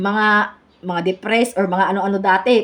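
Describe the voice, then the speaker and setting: A woman talks at a fairly quick pace in a medium pitch. Her intonation is monotone and flat. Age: 40s. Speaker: education student presenter. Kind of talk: class report. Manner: halting.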